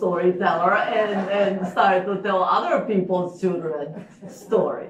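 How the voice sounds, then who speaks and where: A woman with a Japanese accent talks at a fairly slow pace, with audible room echo and noticeable background noise. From Japan, Osaka. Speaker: storyteller. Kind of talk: storytelling performance. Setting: stage with live audience. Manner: halting, with fillers.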